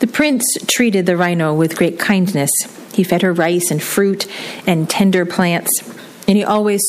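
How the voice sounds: This is a natural reading voice. The clip carries a natural reading voice throughout.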